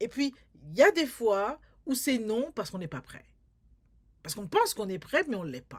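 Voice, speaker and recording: Vocal fry and very wide pitch swings run through this speech, broken by long, frequent pauses, in a very clean recording with a silent background. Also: woman. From France, Paris. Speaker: filmmaker and community artist. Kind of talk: interview. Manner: halting, many repetitions.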